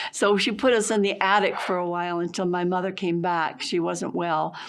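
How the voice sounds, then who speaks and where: Audible room echo surrounds a woman with an American accent who speaks with ordinary pitch variation. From Massachusetts, Boston area. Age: 80s+. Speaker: painter. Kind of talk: interview, life story. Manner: halting.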